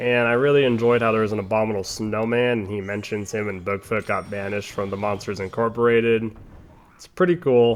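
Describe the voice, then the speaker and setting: A man with an ordinary speaking voice at medium pitch talks at a fairly quick pace, his intonation fairly even but his loudness swinging widely. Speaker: gaming youtuber. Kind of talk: let's play commentary. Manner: casual, meandering.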